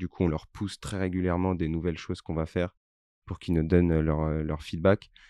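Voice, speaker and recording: Against a quiet background, a man speaks in a monotone, flat way with a very deep, low pitch and a dark, mellow tone, the sound dry and close with no echo. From Corsica. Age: 20s. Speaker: startup founder. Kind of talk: interview. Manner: halting, many repetitions.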